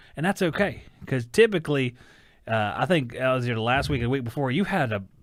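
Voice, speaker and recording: A man talks very fast in a Southern US accent, at a medium pitch. His pitch swings very widely. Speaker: talk show co-host. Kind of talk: casual chat.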